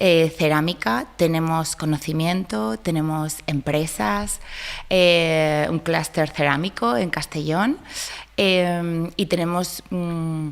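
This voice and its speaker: A woman with a Spanish accent talks fairly slowly at a fairly low pitch. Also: ordinary pitch variation. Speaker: ceramics project representative. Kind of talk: interview.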